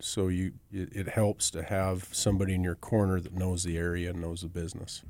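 At a fairly quick pace, a man with a rural Northern Plains accent talks in a very deep, low pitch with monotone, flat intonation. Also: hardly any pauses, very clean recording, silent background. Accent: rural Northern Plains American. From US Northern Plains, western South Dakota. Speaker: ranch land broker. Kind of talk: casual interview.

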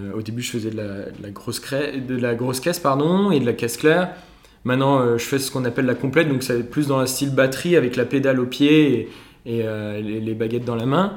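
With audible room echo, a man speaks at a fairly quick pace and ordinary pitch variation. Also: medium pitch for a man. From Alsace, France. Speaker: former engineering student, brass band member. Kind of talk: casual interview chat.

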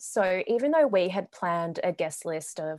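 Heard on a very clean recording with a silent background, a woman speaks at a moderate pace in a medium pitch with ordinary pitch variation. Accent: Australian. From Melbourne, Australia. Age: 20s. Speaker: recently married bride. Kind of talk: casual interview chat.

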